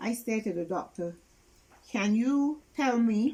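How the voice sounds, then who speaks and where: At a very slow pace, a woman with a fairly high, somewhat breathy voice and a dark, mellow tone speaks with lively intonation in a very clean recording with a silent background. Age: 70s. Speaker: interviewee, caregiver of sick relative. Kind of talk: interview testimony.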